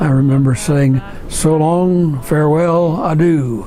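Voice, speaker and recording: The speech has fairly even intonation, with noticeable background noise throughout. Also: man. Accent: Midwestern American. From rural Ohio. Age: 80s+. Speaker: evangelist missionary. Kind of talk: interview answer.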